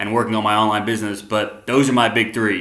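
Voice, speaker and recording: A man's bright, sharp voice with an American accent carries audible room echo. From US South, Arkansas. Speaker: vlogger. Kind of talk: casual monologue. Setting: living room at home. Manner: fast; animated.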